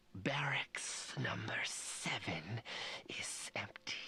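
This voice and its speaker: In a put-on character voice, a man is whispering. His pace is very slow. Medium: video game. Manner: obsequious, deferential.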